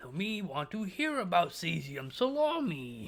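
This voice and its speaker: A man puts on a character voice, high-pitched and at a fairly slow pace. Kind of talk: broken, simple grammar. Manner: crude, broken-speech impression.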